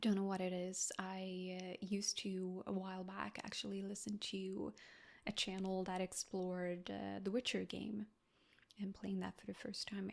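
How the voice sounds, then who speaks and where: With a non-native accent, a woman speaks at a medium pitch in a monotone, flat intonation. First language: not English. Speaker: ASMR creator. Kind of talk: Q&A chat. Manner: soft-spoken.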